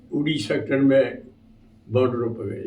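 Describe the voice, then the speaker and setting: This man's dark, mellow tone carries ordinary pitch variation, with audible room echo around him. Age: 80s+. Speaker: retired army havildar, war veteran. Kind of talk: testimony.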